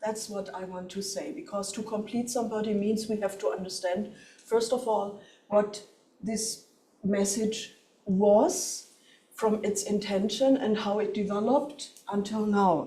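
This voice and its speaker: A woman with a German accent speaks at a fairly slow pace in a fairly high voice with ordinary pitch variation. Audible room echo and noticeable background noise surround her. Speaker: professor. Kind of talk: lecture. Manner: halting.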